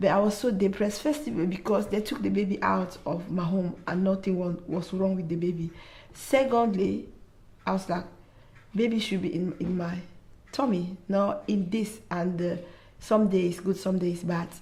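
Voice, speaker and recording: Somewhat breathy and dark, mellow in tone, a woman speaks at a medium pitch. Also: ordinary pitch variation, moderate pace. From Africa. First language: not English. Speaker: mother sharing mental health experience. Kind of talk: testimony. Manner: halting.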